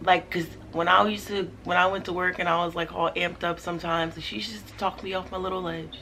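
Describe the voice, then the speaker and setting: Loud and fairly quick, a woman speaks at medium pitch. Her tone is bright and sharp. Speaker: vlogger. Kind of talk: personal vlog monologue.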